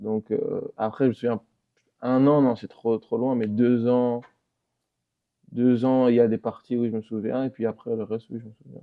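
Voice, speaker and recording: A flat, monotone voice moves at a moderate pace, broken by long and frequent pauses. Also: man, medium pitch for a man. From Belgium (Brussels area), born in DR Congo. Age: 20s. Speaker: professional footballer. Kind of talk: interview. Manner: hesitant, many fillers.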